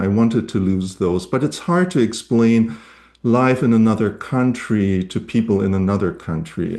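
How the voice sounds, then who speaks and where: Moderate pace, medium pitch and a dark, mellow tone from a man. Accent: German. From Germany. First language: German. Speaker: novelist. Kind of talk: casual conversation at a reading event. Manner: halting, many fillers.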